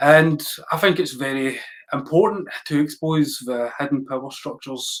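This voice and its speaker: Speaking with a Glasgow accent, a man uses a fairly high pitch with ordinary pitch variation. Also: moderate pace. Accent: Scottish, Glasgow. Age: 40s. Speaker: podcast host. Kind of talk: interview.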